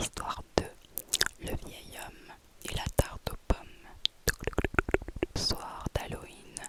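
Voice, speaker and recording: A woman whispers at a very slow pace, her loudness swinging widely. Background noise is noticeable throughout. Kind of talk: horror story narration in whisper. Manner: whispered, close to the microphone.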